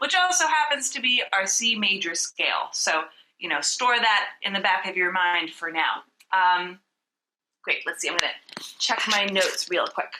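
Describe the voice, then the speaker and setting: A woman's plain, everyday voice, medium in pitch, with lively intonation and a moderate pace. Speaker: vocal coach. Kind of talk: tutorial. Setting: video call.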